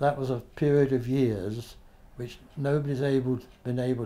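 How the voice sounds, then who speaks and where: A man with a British accent, medium pitch, a dark, mellow tone, ordinary pitch variation and a moderate pace. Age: 80s+. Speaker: author and former journalist. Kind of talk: interview answer.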